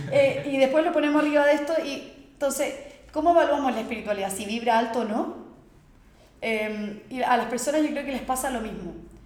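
A woman talks fairly quickly in a high voice with ordinary pitch variation, with audible room echo and noticeable background noise. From Chile, Santiago. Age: 20s. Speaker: yoga teacher. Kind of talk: casual interview. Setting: at her home studio.

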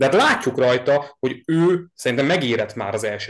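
A man talks in a plain, everyday voice at a moderate pace. His pitch is medium, with ordinary pitch variation. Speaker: podcast host, sports fan. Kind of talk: casual sports podcast chat.

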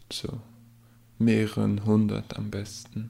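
With a Swiss German accent, a man speaks at a very slow pace. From Switzerland. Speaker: aspiring novelist and podcaster. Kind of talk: casual solo talk about writing and books.

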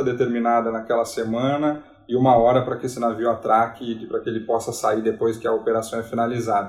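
Against noticeable background noise, a man speaks at a medium pitch and a fairly quick pace with fairly even intonation. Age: 30s. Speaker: port terminal sales manager. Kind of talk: interview.

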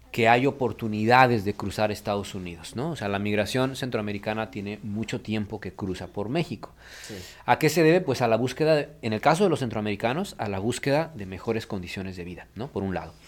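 Here a man speaks in a plain, everyday voice, fairly low in pitch with ordinary pitch variation, at a fairly quick pace. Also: big swings in loudness. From Mexico City. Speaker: migration researcher. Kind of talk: radio interview.

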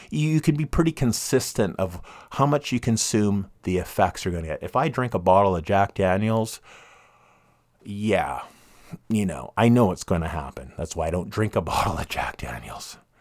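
On a very clean recording with a silent background, a man with a Western Canadian accent speaks at a moderate pace, his fairly low voice showing vocal fry and very wide pitch swings. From Canada, Vancouver (East Van). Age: 50s. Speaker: podcast host. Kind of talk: casual monologue.

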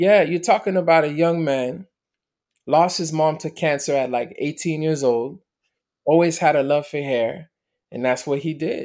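A man speaks in a plain, everyday voice at a moderate pace, with fairly high pitch and ordinary pitch variation. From Miami, US (born in Montreal). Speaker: motivational speaker. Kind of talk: interview testimony.

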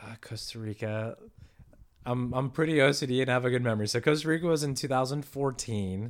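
An ordinary speaking voice comes with an American accent. It moves at a fairly quick pace with ordinary pitch variation. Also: man, medium pitch for a man. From San Diego, California. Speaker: world traveler and entrepreneur. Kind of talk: casual interview.

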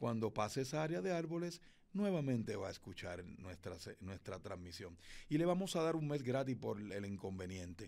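His medium-pitched voice swings very widely in pitch as the man speaks. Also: moderate pace. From Puerto Rico, Fajardo (east coast). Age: 40s. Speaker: radio announcer and event emcee. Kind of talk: interview. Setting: recording studio.

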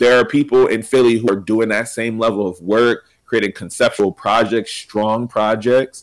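On a very clean recording with a silent background, a man talks at a moderate pace in a normal speaking voice, his pitch medium and his intonation fairly even. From Pennsylvania, Reading. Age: 20s. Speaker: educator and podcaster. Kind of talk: casual interview.

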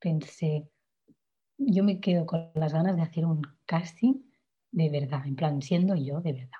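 Somewhat breathy and dark, mellow in tone, a woman's fairly low-pitched voice moves at a fairly slow pace with lively intonation. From Catalonia, Spain (Igualada). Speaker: singer-songwriter. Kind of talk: interview.

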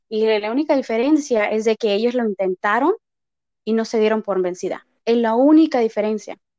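Her voice is fairly high yet dark and mellow, and the woman speaks at a moderate pace with ordinary pitch variation in a dry, close sound with no echo. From Texas, Mexican family. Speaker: paralegal and aspiring actress. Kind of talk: interview.

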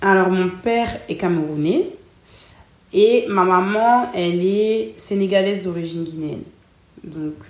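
At a very slow pace with long, frequent pauses, a woman speaks in a medium pitch with ordinary pitch variation, and audible room echo surrounds her voice. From northern France, Lille. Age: 20s. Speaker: customer service worker. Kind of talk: interview. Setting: at her home.

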